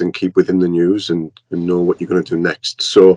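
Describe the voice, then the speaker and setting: The sound is dry and close with no echo as a man speaks at a very deep, low pitch. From northern England. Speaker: journalist. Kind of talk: interview. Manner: hesitant, many fillers.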